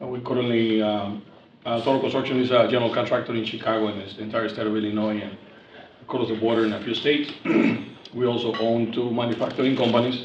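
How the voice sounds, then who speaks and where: Over noticeable background noise and audible room echo, a man with a Spanish accent speaks at a very fast pace in a monotone, flat intonation. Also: medium pitch for a man. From Mexico. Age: 40s. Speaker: construction company president. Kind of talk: casual dinner-table conversation.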